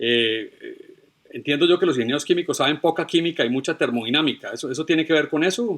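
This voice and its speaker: A man talks at a very fast pace in a fairly high pitch, with ordinary pitch variation. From Colombia. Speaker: podcast host. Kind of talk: interview conversation.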